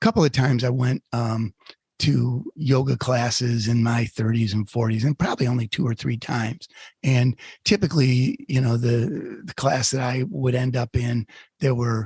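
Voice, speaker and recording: The voice is somewhat breathy. Its pace is moderate. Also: man, dry, close sound with no echo. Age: 60s. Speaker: podcast co-host. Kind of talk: casual chat. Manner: hesitant, many fillers.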